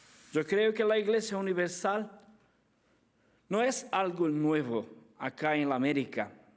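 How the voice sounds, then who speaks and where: This man, with a Brazilian accent, speaks with very wide pitch swings. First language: Portuguese (speaking Spanish). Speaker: apologetics speaker. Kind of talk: conference lecture. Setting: conference with audience. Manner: halting.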